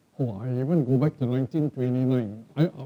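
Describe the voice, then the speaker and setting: Noticeable noise fills the background. Over it, a man speaks very quickly. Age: old. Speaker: professor. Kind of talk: lecture. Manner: hesitant fillers (um, okay).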